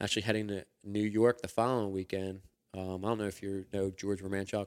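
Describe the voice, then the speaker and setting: With a Philadelphia accent, the speaker goes at a fairly quick pace in a monotone, flat intonation, captured in a very clean recording with a silent background. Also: man. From US Northeast, Philadelphia. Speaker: sheet metal worker and hunter. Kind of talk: casual chat. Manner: halting, many fillers.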